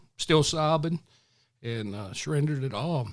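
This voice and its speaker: With a Southern US accent, a man is talking. The recording is very clean and the background silent. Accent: Southern US drawl. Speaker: retired police officer. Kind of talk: interview answer.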